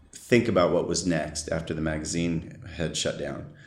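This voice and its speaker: The speaker has an American accent. Audible room echo surrounds the voice. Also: man. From US West Coast, San Diego, California. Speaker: surf photographer. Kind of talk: interview. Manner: halting.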